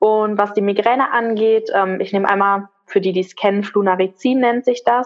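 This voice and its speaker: With music in the background, a woman speaks at a medium pitch and with fairly even intonation. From Ruhr area, Germany. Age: 20s. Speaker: migraine patient sharing her story. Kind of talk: interview.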